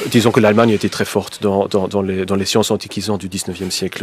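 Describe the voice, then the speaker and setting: A man with a German accent, fairly low pitch, monotone flat intonation and a very fast pace. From German-speaking Belgium. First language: German (speaking French). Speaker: historian, professor. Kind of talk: radio debate. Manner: halting, many hesitations.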